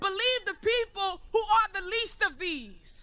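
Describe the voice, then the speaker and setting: An American accent marks a woman's raised, projected voice, pitched extremely high and delivered at a fairly slow pace. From Harlem, New York. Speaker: activist speaker. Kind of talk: rally speech. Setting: outdoor rally with crowd. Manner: animated.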